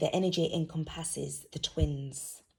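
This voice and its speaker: This woman has a very deep, low pitch, a somewhat breathy, dark, mellow tone and fairly even intonation. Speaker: tarot reader. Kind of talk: tarot reading. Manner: casual, hesitant.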